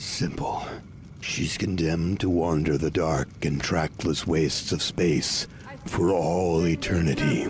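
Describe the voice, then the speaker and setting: A man puts on a cartoonish character voice at a very deep, low pitch, speaking fairly slowly over clear background noise. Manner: enthusiastic, sardonic.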